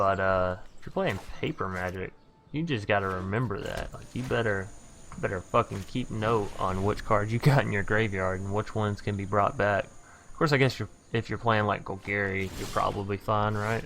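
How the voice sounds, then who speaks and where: With a Southern US accent, a man speaks using ordinary pitch variation. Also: fairly low pitch for a man, moderate pace. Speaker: gaming youtuber. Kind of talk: gameplay commentary. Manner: words jumbling together.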